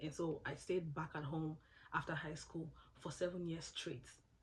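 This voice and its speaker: A woman's fairly low, somewhat breathy voice carries fairly even intonation. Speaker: scholarship applicant sharing advice. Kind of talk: casual tutorial vlog. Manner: fast.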